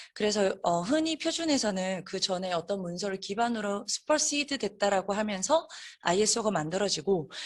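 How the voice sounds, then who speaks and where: With lively intonation, a woman talks at a medium pitch. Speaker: business development and marketing team lead presenting a webinar. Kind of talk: webinar presentation. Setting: online webinar. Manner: fast.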